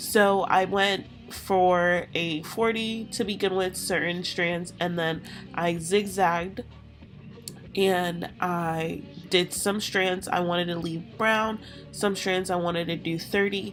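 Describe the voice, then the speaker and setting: A woman at a very slow pace with fairly even intonation, music playing in the background. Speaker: hair tutorial creator. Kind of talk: casual voiceover tutorial.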